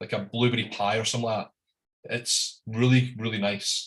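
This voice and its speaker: A man with a strong Scottish accent talks at a moderate pace. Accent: thick Scottish. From Scotland. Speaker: whisky importer and tasting host. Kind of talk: live online whisky tasting presentation. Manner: casual, hesitant.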